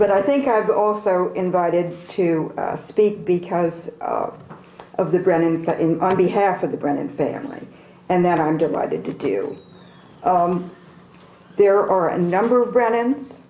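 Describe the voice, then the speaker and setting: Speaking fairly slowly in an American accent, a woman uses a medium pitch and ordinary pitch variation, with audible room echo. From Newark, New Jersey. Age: 70s. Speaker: panelist, family member. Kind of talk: panel discussion.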